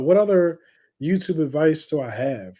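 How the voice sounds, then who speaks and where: A man with a fairly high voice and a dark, mellow tone speaks with ordinary pitch variation on a very clean recording with a silent background. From Philadelphia, Northeast (Frankford). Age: 30s. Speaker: YouTuber, movie reviewer. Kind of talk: live stream chat with sports watch-along. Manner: casual, many fillers (um, uh).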